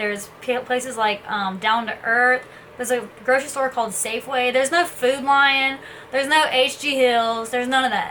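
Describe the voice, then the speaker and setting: Noticeable background noise sits behind a woman with a Southern US accent. She talks at a moderate pace with a high pitch and ordinary pitch variation. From US South, Tennessee (Ashland City). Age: 20s. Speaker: vlogger. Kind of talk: casual talk to camera.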